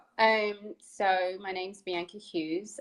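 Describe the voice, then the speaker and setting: A woman speaks with an American accent. Her intonation stays fairly even. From England, London. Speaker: counselor. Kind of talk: interview.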